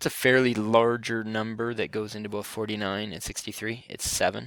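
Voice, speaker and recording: The man's voice sits at a fairly low pitch. His intonation is monotone and flat. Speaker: math teacher. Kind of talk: tutorial. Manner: fast; hesitant fillers.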